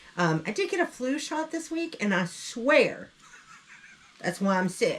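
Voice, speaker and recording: A woman with a Southern US accent speaks at a high pitch and a fairly slow pace. Her voice makes very wide pitch swings. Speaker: online reseller, channel co-host. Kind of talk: casual chat.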